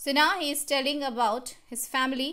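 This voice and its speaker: Speaking at a fairly slow pace, a woman uses a raised, projected voice with a bright, sharp tone, a high pitch and fairly even intonation. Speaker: school teacher. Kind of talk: lecture. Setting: recorded online class video.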